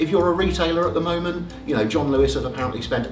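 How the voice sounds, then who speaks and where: Male speech with audible room echo over noticeable background noise. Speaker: business networking speaker. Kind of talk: presentation to a networking group.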